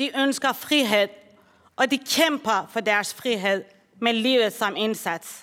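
In a Persian accent, a woman with a fairly high, bright, sharp voice speaks at a very slow pace on a very clean recording with a silent background. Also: ordinary pitch variation. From Iran. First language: Persian (speaking Danish). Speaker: social worker. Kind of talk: speech. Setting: conference hall. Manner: formal.

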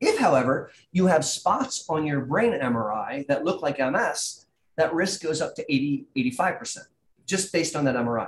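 This man speaks at a fairly slow pace in a fairly high voice. His pitch swings very widely. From US Midwest (Columbus, Ohio). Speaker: neurologist. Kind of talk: explanatory interview.

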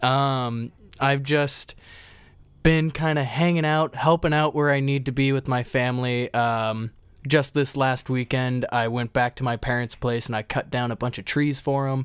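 A man with an ordinary speaking voice talks at a medium pitch and moderate pace with fairly even intonation, on a very clean recording with a silent background. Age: 20s. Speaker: podcast co-host and former lifeguard. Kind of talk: casual conversational podcast.

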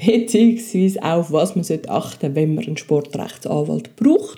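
A woman talks at a moderate pace with ordinary pitch variation. It is an ordinary speaking voice. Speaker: podcast host. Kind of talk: casual interview.

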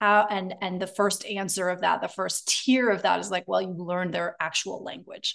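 Speaking at a moderate pace, a woman talks with hardly any pauses. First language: German. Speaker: speech therapist. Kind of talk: interview conversation.

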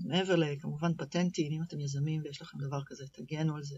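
A woman with a very deep, low pitch talks at a moderate pace using ordinary pitch variation. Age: 30s. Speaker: product manager. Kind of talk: interview. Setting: studio.

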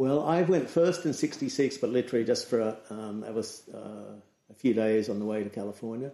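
Against a quiet background, a man with a dark, mellow tone speaks at a moderate pace with an Australian accent. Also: medium pitch for a man, ordinary pitch variation. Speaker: surf photographer and magazine editor. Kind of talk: casual interview chat.

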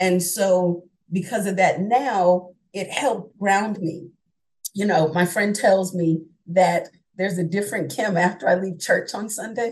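Speaking at a fairly slow pace, this woman has a somewhat breathy voice and an American accent. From New York (Brooklyn, upstate). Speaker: online teacher. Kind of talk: interview.

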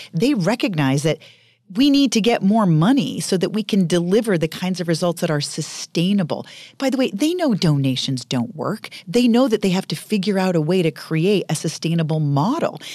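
Speaking at a fairly quick pace with an American accent, this voice has a dark, mellow tone and very wide pitch swings. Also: woman, medium pitch for a woman. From Maine, US (rural northern). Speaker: biotech company CEO. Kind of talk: interview.

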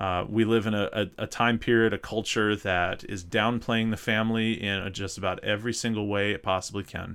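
A man with an American accent talks at a fairly quick pace. His fairly low voice stays monotone and flat. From North Mississippi. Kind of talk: casual chat.

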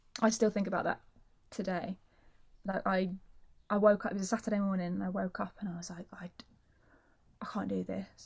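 This woman's voice is medium-pitched and somewhat breathy. She keeps a moderate pace with monotone, flat intonation. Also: very clean recording, silent background. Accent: South London. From South London, England. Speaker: actor and singer. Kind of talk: casual chat.

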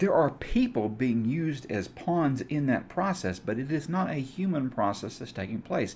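This man's voice sits fairly high and sounds somewhat breathy, moving at a moderate pace with very wide pitch swings. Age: 50s. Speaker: podcast host and educator. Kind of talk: solo podcast monologue on religion. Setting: live video stream.

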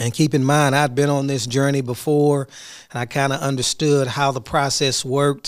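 An ordinary speaking voice at a moderate pace, fairly even intonation, on a very clean recording with a silent background. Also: man. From Houston, Texas. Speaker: school superintendent. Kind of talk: solo podcast reflection.

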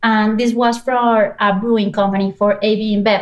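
With a Spanish accent, a woman speaks in a flat monotone at a fairly high pitch. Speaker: business anthropologist and service designer. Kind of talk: interview.

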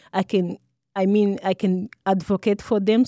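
In a Rwandan accent, a woman speaks with a cheerful tone and a dark, mellow timbre, her intonation fairly even, in a very clean, dry, close recording with a silent background and no echo. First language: Kinyarwanda. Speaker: social work student. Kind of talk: interview. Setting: studio. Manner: cheerful, laughs often.

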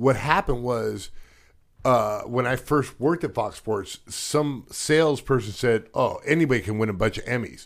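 With an American accent, a man speaks at a moderate pace and medium pitch with ordinary pitch variation, in a very clean recording with a silent background. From Redondo Beach, California. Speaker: podcast co-host and broadcast designer. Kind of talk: casual chat. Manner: laid-back, says dude a lot.

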